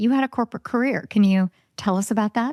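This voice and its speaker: In a very clean recording with a silent background and a dry, close sound with no echo, a woman talks at a moderate pace in an unremarkable speaking voice with ordinary pitch variation. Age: 50s. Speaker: podcast host. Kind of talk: podcast interview.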